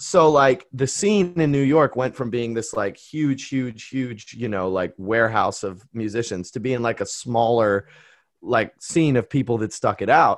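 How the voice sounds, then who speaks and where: Against a quiet background, a man with an American accent speaks at a medium pitch and a fairly slow pace, his intonation lively. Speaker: jazz trumpeter and vocalist. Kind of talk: casual chat. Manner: animated.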